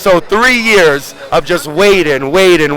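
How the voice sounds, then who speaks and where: There is noticeable background noise as a man talks in a high pitch. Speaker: pro wrestler. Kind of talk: interview. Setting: outdoors. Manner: halting, repeats words.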